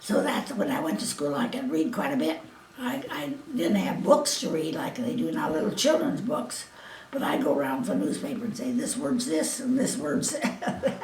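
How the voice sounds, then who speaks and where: Noticeable background noise and audible room echo accompany a woman speaking with an American accent. Her high pitch moves in very wide swings. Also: moderate pace. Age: 80s+. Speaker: elderly interviewee. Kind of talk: oral history interview. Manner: halting.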